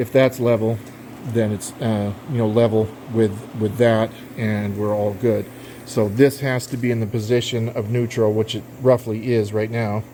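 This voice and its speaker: The speech moves at a moderate pace. Noticeable noise sits in the background. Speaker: amateur aircraft builder. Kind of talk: casual build log narration. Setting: workshop with metal roof. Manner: hesitant, many fillers; talking loud.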